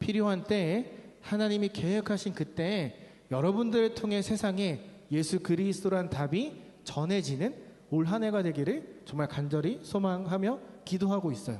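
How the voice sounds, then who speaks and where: A man with a high pitch talks at a moderate pace, his loudness very even and his pitch varying in an ordinary way. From Korea, Chungcheong province. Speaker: youth pastor. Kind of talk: sermon. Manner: casual, engaging with audience.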